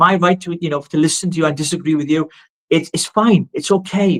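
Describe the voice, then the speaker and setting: The speaker talks at a fairly quick pace. The voice carries a Welsh accent. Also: man. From Wales. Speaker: political activist. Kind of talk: live political discussion. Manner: animated.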